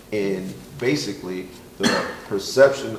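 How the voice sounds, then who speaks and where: A man's voice amid noticeable background noise. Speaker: college administrator and teacher. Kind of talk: panel discussion.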